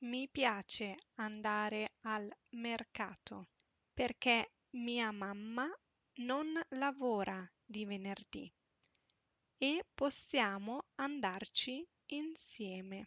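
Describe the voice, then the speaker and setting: Speaking at a very slow pace with long, frequent pauses, a woman keeps a fairly high pitch and ordinary pitch variation. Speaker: Italian teacher. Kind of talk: reading aloud.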